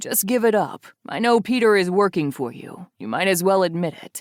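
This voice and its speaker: A put-on, female-sounding character voice, growling at a middle pitch and moderate pace, on a very clean recording with a silent background. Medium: read story. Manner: controlled, tense.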